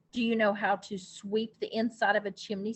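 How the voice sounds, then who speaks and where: A woman puts on a gruff, growling character voice, pitched fairly high and delivered fairly quickly in a monotone, flat intonation. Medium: read story.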